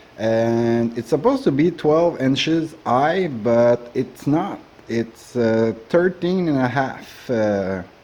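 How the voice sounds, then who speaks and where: With a Quebec accent, a man speaks at a very slow pace and medium pitch, with lively intonation and hardly any pauses. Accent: Québécois French accent in English. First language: French. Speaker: woodturner. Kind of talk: tutorial. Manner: halting, many fillers.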